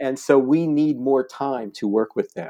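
A man's fairly high, lively voice, a normal speaking voice, against a quiet background. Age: 60s. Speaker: nonprofit founder. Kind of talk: interview.

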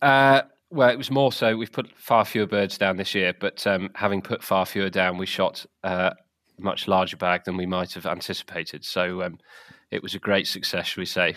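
Speaking in a southern English accent, a man uses a fairly low voice with a bright, sharp tone, ordinary pitch variation and a moderate pace. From southern England. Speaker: game bird rearing and shoot manager. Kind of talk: casual interview. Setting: podcast recording.

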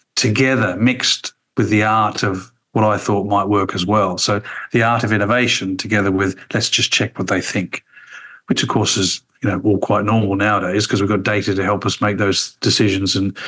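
A man's fairly low, bright and sharp voice with an Australian accent, monotone and flat, at very even loudness. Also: moderate pace. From Australia, Tasmania. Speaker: former radio executive. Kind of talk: casual interview.

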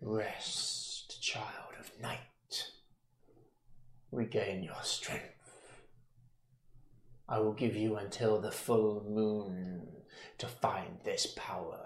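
Man in a put-on character voice at medium pitch, very slow pace and long, frequent pauses. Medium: actual play. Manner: menacing, slow, condescending.

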